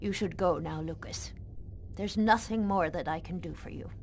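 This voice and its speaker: A woman performs a put-on character voice at a moderate pace, her loudness swinging widely. Clear background noise runs underneath. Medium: video game. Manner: slow, measured, directive.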